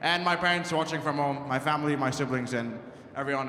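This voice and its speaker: Audible room echo surrounds a man speaking at a very fast pace. His intonation stays fairly even. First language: not English. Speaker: college squash champion. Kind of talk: victory speech. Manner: halting.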